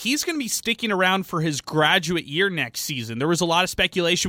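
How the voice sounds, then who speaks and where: In a very clean recording with a silent background, a man speaks in a bright, sharp tone. His delivery is upbeat and enthusiastic, and the sound is dry and close with no echo. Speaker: radio sports co-host. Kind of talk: casual sports talk radio. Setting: radio studio. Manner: upbeat, enthusiastic.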